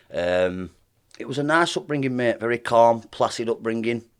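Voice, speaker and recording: A man with a strong Lancashire accent talks in a fairly low voice with ordinary pitch variation. The recording is very clean, with a silent background. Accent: thick Lancashire. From northern England, Lancashire (Burnley). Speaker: professional boxer. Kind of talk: podcast interview.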